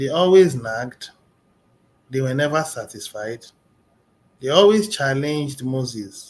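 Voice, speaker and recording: A man talks at a fairly slow pace. His pitch is medium and varies in an ordinary way. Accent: non-native. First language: not English. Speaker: motivational speaker. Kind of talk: motivational talk.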